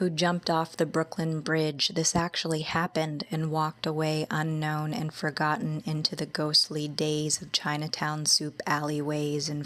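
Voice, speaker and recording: Soft-spoken and soothing in tone, a woman speaks in a very deep, low pitch at a fairly slow pace, her intonation monotone and flat, with hardly any pauses. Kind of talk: ASMR poetry reading. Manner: soothing, soft-spoken.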